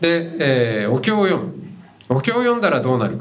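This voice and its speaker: Against noticeable background noise, a medium-pitched man speaks at a moderate pace with very wide pitch swings. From Hokkaido, Japan. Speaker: Buddhist monk and podcast host. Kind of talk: talk at a live event. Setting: university festival stage with audience.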